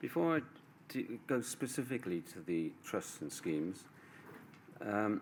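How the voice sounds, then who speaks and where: A man speaks quietly at a fairly slow pace, his pitch swinging very widely. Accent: British. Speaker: barrister. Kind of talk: legal closing submission. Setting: inquiry hearing room. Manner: halting.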